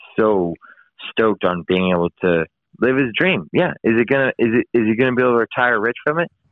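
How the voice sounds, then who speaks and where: Speaking with an American accent, a man moves at a fairly quick pace with lively intonation. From US West Coast, San Francisco East Bay. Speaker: motocross filmmaker and video editor. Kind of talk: casual interview.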